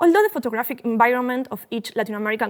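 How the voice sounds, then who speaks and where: The speaker is a woman with a fairly high pitch. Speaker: art historian lecturer. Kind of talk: lecture read from script. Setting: university lecture hall. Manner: halting, self-correcting.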